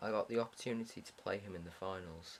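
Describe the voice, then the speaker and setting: This man speaks at a fairly low pitch. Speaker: gamer commentating own replay. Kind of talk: gameplay commentary. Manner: monotone.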